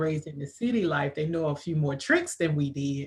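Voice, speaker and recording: A woman with an American accent speaks at a fairly quick pace. Her voice is very deep, low and somewhat breathy. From rural US. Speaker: interviewer and book co-author. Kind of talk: live interview.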